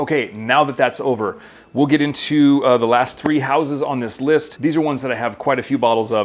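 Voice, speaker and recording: A man speaks at a medium pitch and a fairly quick pace, with fairly even intonation. Noticeable background noise is present. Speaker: perfume reviewer. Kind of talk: casual video review. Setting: home kitchen. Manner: fast.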